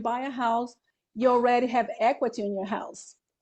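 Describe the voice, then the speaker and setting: Over a quiet background, a woman speaks with a Brazilian Portuguese accent. Her pitch is high and her tone dark and mellow. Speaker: real estate broker. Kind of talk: interview. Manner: halting.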